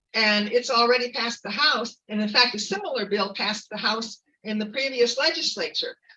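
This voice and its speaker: With ordinary pitch variation, the woman talks at a moderate pace in a fairly high pitch. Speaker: community activist. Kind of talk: speech. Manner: halting.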